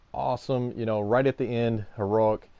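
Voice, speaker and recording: This man's voice sits fairly low in pitch and moves at a moderate pace. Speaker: gaming YouTuber. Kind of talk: gameplay commentary. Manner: hesitant with many fillers.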